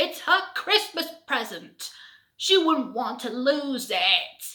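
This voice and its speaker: A put-on character voice at a very slow pace, with very wide pitch swings. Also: woman, high pitch for a woman. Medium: read story.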